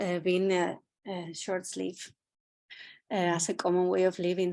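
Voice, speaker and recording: Against a quiet background, a woman with a Spanish accent speaks at a moderate pace and a medium pitch. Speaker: art curator. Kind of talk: curatorial talk. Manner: halting.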